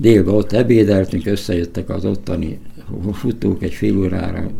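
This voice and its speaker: There is noticeable background noise and audible room echo. A man speaks at a very deep, low pitch with ordinary pitch variation. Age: 70s. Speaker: retired marathon runner. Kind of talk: interview. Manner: halting.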